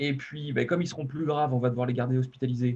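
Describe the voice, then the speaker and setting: The voice has a dark, mellow tone and is somewhat breathy. It moves at a very fast pace in a Poitou accent. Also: man. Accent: Deux-Sèvres regional French. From western France, Deux-Sèvres. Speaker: emergency medicine physician. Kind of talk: conference presentation. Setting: online webinar. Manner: hesitant, many fillers.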